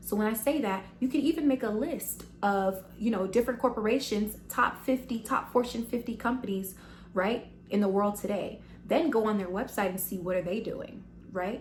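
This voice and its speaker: With an American accent and an animated tone, the speaker uses vocal fry and ordinary pitch variation. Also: woman, fairly high pitch for a woman. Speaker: business vlogger. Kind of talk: tutorial. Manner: fast.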